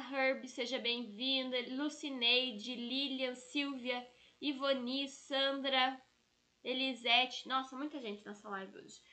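This woman's voice is high-pitched. She delivers her words at a fairly slow pace. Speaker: aromatherapy educator. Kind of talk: live stream class. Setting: live stream on Instagram and YouTube. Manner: animated.

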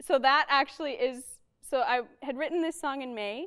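A woman in a Canadian accent, an ordinary speaking voice at a moderate pace with ordinary pitch variation. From Manitoba, Canada. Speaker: music student and percussionist. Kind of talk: casual chat.

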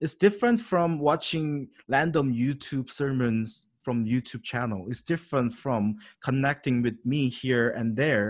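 Fairly slow delivery in a Korean accent, with ordinary pitch variation. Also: man, medium pitch for a man. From South Korea. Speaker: pastor. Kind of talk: interview. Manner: halting.

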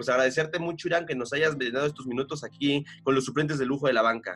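At a very fast pace, a man speaks in a bright, sharp tone. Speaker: podcast co-host. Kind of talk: casual interview chat.

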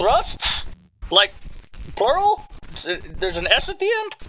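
A man puts on a character voice at an extremely high pitch, bright and sharp in tone with a slightly husky edge. His pitch swings very widely and he moves at a slow pace.

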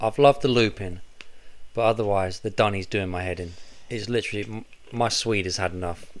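A man with a fairly low pitch talks at a fairly quick pace. He leaves long, frequent pauses, and his intonation stays fairly even. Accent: southern English. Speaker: podcast co-host, golf caddie. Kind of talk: casual chat. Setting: home recording room.

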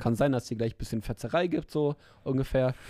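The delivery is very fast, with a dark, mellow tone and ordinary pitch variation. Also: man. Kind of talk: casual chat. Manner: animated, halting.

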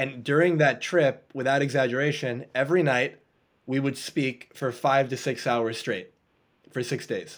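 Here a man speaks with an American accent in an ordinary speaking voice, with ordinary pitch variation at a moderate pace. The recording is very clean, the background silent. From US Northeast (New York). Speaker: life coach and naturopathic physician. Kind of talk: interview.

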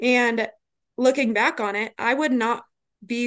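A woman's ordinary speaking voice with an American accent, fairly even in intonation, at a moderate pace. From Colorado. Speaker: former college athlete. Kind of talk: casual interview.

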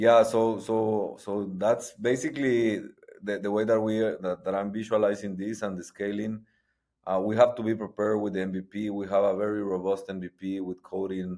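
A man with a Spanish accent speaks in a dark, mellow tone at a fairly low pitch and moderate pace, with monotone, flat intonation. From Guatemala. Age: 40s. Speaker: athlete and sports entrepreneur. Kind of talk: interview. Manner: halting, many repetitions.

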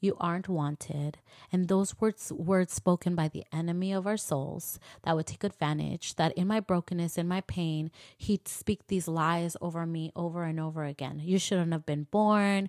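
Recorded very cleanly with a silent background and a dry, close sound without echo, a woman speaks at a fairly low pitch and moderate pace with fairly even intonation. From US, Mexican immigrant family. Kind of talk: faith-based monologue. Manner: casual, with frequent fillers.

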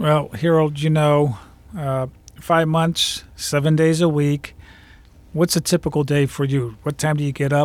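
A man with a plain, everyday voice, fairly high in pitch, at a fairly slow pace with fairly even intonation, in a very clean recording with a silent background. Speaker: radio host and minister. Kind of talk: radio interview.

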